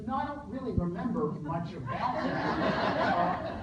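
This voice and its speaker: Over noticeable background noise and audible room echo, a man with an American accent speaks with very wide pitch swings. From northern New Jersey, US. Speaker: professor. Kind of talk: lecture. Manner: halting, many fillers.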